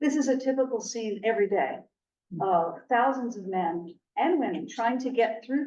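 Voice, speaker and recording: A woman with a plain, everyday voice speaks at a moderate pace and a fairly high pitch, with lively intonation. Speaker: church task force chair giving a presentation. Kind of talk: presentation with slides.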